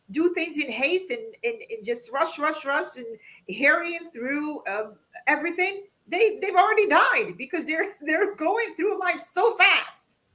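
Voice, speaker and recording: A woman's extremely high, bright, sharp voice, raised and projected, with lively intonation at a fairly slow pace. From Morocco. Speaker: podcast host. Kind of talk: casual discussion.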